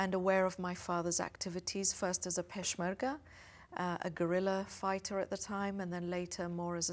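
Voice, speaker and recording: With a British accent, a woman speaks at a fairly quick pace. Her medium pitch holds a monotone, flat intonation. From England, London suburb. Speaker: diplomat. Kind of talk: interview. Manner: hesitant with fillers.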